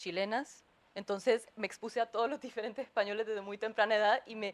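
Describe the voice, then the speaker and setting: Her voice sits at a medium pitch. The woman speaks very fast. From Honduras. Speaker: panelist, creative writing graduate student. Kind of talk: panel discussion. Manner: hesitant, many fillers.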